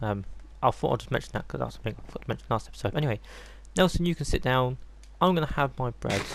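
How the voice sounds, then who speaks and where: The speaker talks at a very fast pace in an English accent. Long, frequent pauses break up the speech. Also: man. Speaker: gaming youtuber. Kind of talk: gameplay commentary. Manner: soft-spoken; casual, hesitant with ums.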